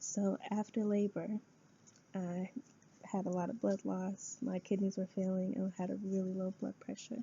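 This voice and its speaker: Somewhat breathy and medium in pitch, a woman with an American accent speaks in a monotone, flat intonation. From US Midwest, Rapid City, South Dakota. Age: 20s. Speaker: student. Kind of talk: class speech. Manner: hesitant, with frequent fillers.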